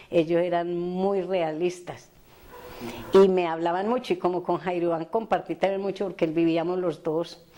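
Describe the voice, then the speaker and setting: The voice has a dark, mellow tone and a monotone, flat intonation. It moves at a moderate pace. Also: woman, fairly low pitch for a woman. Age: 70s. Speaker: victim's mother. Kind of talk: testimony.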